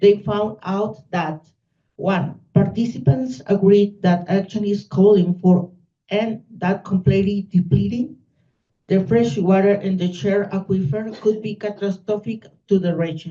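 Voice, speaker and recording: A woman speaks with a non-native accent at a medium pitch. Her voice is somewhat breathy, with a dark, mellow tone. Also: ordinary pitch variation, fairly slow pace. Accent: non-native English accent, noticeable. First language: Spanish. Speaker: university researcher. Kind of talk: conference talk. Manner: slow.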